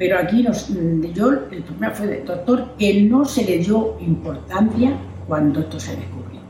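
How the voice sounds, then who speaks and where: Fairly slow speech from a woman, amid audible room echo and noticeable background noise. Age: 80s+. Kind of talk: interview testimony.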